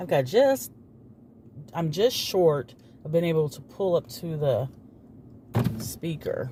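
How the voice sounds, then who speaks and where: A man's fairly high, very slow voice with lively intonation, big swings in loudness, long and frequent pauses, and noticeable background noise. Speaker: vlogger. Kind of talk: casual vlog. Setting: in a car at a drive-through.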